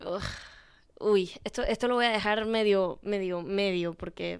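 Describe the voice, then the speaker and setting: The background stays quiet while a woman talks fairly slowly. Her pitch shifts in an ordinary way. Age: 20s. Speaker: podcast host; podcast host giving advice. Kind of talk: casual chat. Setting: bedroom. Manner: animated. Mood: expressive, animated, empathetic. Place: home room. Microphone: handheld.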